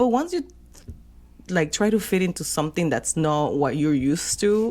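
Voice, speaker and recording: A woman with a Spanish accent, fairly low in pitch, dark and mellow in tone, with lively intonation, very even loudness and a moderate pace. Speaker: podcast co-host. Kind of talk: casual chat.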